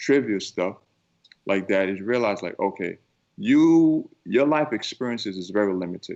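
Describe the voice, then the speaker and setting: This man speaks with a Liberian accent at a fairly slow pace. His pitch varies in an ordinary way. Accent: West African (Liberian). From Liberia, West Africa. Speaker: keynote speaker. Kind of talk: interview. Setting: studio.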